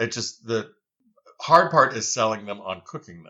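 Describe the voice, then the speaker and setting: A man with a normal speaking voice, medium pitch and a moderate pace. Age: 60s. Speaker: founder of an heirloom bean company. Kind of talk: podcast interview.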